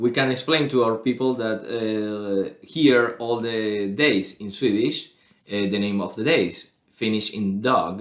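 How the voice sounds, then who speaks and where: A man at a very slow pace and medium pitch, with ordinary pitch variation and a Spanish accent. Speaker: podcast co-host. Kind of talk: casual chat. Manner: halting.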